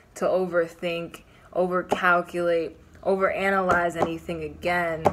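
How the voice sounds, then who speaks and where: Amid noticeable background noise, a woman with a fairly low pitch speaks at a moderate pace in a monotone, flat intonation. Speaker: tarot reader. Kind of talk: casual tarot reading chat. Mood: calm, reassuring. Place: home room. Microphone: phone near.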